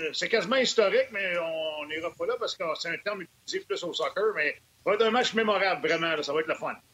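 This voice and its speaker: Noticeable background noise is present. A man speaks very fast over it. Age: 50s. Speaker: hockey analyst, former player. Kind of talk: panel discussion on hockey.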